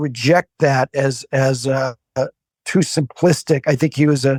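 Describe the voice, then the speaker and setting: In an American accent, a man speaks at a fairly slow pace with a fairly high pitch. His loudness stays very even, and the sound is dry and close with no echo. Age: 60s. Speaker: author and political analyst. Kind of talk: interview. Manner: halting, many fillers.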